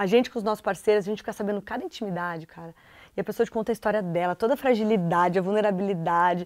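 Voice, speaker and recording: Against a quiet background, a woman talks at a very fast pace. Her medium pitch carries fairly even intonation. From southern Brazil, Porto Alegre. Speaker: TV presenter. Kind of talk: casual chat. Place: studio.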